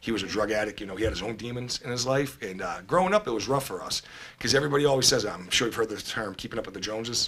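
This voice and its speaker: A man with a Boston accent speaks at a very fast pace in a medium pitch, his pitch varying in an ordinary way over noticeable background noise. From Boston, Massachusetts (East Boston). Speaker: person in addiction recovery. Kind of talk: personal testimony in podcast interview. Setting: studio. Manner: casual, hesitant with many fillers.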